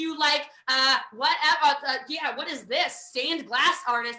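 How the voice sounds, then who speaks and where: Raised and projected, a woman's voice with an American accent comes across bright and sharp, with an animated tone and lively intonation. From USA. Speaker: network marketing trainer. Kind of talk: online training presentation. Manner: fast.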